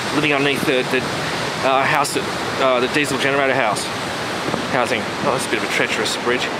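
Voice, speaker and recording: A man talks at a very fast pace through loud background noise. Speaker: hiker vlogger. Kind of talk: casual vlog chat. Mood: amused, storytelling. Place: forest. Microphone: phone near.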